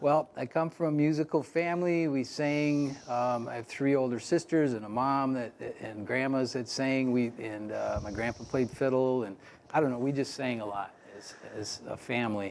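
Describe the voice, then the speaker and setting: A man with an American accent speaks at a moderate pace in a normal speaking voice. His pitch sits in the middle range and moves by ordinary amounts. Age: 60s. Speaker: folk musician and songwriter. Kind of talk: interview.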